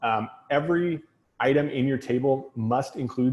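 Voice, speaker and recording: Fairly even intonation from a man, his voice somewhat breathy. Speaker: tech consultant and trainer. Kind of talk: technical talk. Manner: fast.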